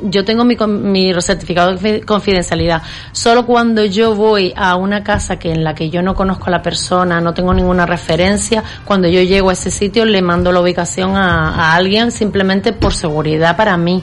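At a moderate pace with hardly any pauses, a woman speaks at a medium pitch with fairly even intonation over noticeable background noise. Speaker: professional organizer. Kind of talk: casual interview.

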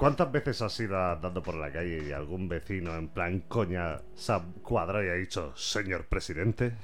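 Music plays in the background as a man speaks at a moderate pace. His pitch is very deep and low, with hardly any pauses. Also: ordinary pitch variation. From Spain, Vega Baja (Alicante). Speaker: podcast host. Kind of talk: casual interview.

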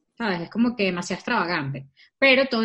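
Lively in intonation and animated in tone, a woman speaks with a fairly high pitch. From Venezuela. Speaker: podcast co-host. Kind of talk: casual chat.

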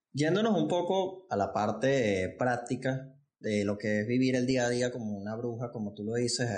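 An ordinary speaking voice from a man, medium in pitch, at a moderate pace. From Venezuela. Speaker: podcast host. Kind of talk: casual interview. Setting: studio set.

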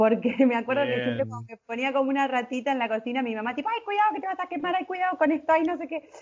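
A woman's very fast, high-pitched speech in a Rioplatense accent, lively in intonation, with hardly any pauses. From Buenos Aires province, Argentina. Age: 30s. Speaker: cooking instructor. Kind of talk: interview.

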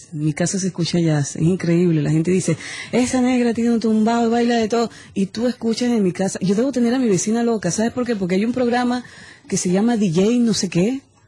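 The tone is animated, with ordinary pitch variation and a very fast pace. Noticeable background noise runs underneath. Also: woman, fairly high pitch for a woman. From Venezuela. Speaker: singer. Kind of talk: casual interview chat. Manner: animated, halting with repetitions.

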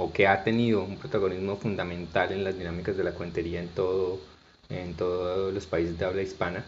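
A very deep, low-pitched man's voice, monotone and flat, with audible room echo. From Colombia, Barranquilla and Bucaramanga. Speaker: storyteller and cultural manager. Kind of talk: interview conversation.

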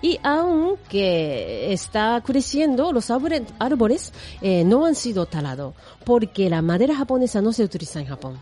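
Very wide pitch swings at a fairly slow pace, in a Japanese accent, over noticeable background noise. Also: woman, fairly high pitch for a woman. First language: Japanese (speaking Spanish). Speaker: radio host. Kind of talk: radio presenting.

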